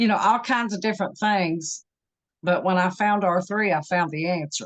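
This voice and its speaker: A woman speaks in a normal speaking voice at medium pitch and a moderate pace. Her loudness stays very even, with ordinary pitch variation. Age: 60s. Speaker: program participant sharing health story. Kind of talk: interview testimony.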